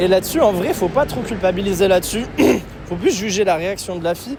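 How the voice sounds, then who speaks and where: Over noticeable background noise, a man talks at a fairly quick pace in a high pitch. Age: 20s. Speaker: dating coach. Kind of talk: vlog commentary. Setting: outdoors, street.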